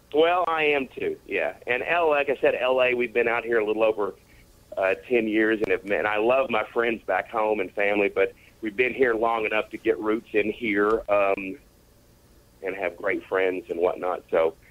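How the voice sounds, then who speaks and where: A man's voice with a Southern accent, moderate pace and ordinary pitch variation. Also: medium pitch for a man. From US South. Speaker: comedian. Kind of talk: radio interview.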